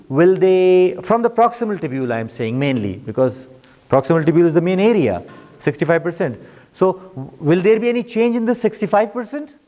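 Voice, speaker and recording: A man's high, dark, mellow voice, fairly quick, with very wide pitch swings. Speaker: medical school lecturer. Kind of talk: lecture.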